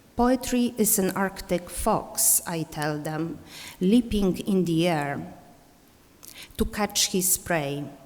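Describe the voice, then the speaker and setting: A woman's medium-pitched voice with an Eastern European accent, ordinary pitch variation and a very slow pace. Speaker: poet and teacher. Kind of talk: poetry reading; conference talk.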